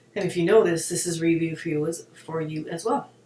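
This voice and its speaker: A woman speaks at a very fast pace in a very deep, low pitch. Noticeable background noise can be heard. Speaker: hypnotherapist and wellness video host. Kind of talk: casual spiritual talk to camera. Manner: animated.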